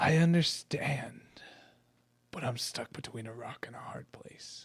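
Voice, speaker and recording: A man whispers in a put-on character voice at a fairly slow pace, his loudness swinging widely. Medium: actual play. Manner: hesitant, easily pushed around.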